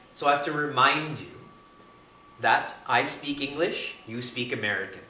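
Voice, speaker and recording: Over noticeable background noise, a man with a fairly high pitch speaks at a moderate pace, his pitch varying in an ordinary way and his loudness swinging widely. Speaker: spiritual teacher. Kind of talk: spiritual discourse. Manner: conversational, engages audience with questions.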